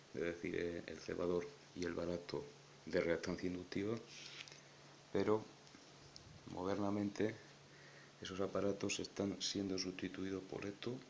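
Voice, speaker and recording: At a fairly slow pace, a man with a very deep, low pitch speaks in fairly even intonation. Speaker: electronics hobbyist. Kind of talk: tutorial explanation.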